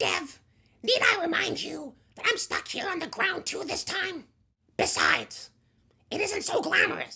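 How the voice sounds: In a put-on character voice, a woman speaks at an extremely high pitch with lively intonation. Her speech has long, frequent pauses. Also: moderate pace.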